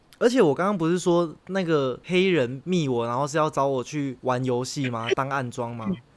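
A plain, everyday voice: a man at a fairly high pitch, moderate pace, ordinary pitch variation. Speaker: podcast co-host. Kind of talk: casual chat.

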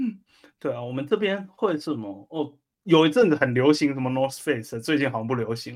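A man speaks in a normal speaking voice with a fairly high pitch. His loudness swings widely, his intonation is lively, and his pace is fairly quick. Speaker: podcast host. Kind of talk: casual chat.

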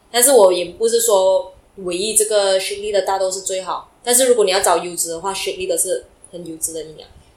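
Amid noticeable background noise, a woman talks fairly quickly at a medium pitch, her intonation fairly even but her loudness swinging widely. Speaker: entrepreneur. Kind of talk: interview. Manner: halting.

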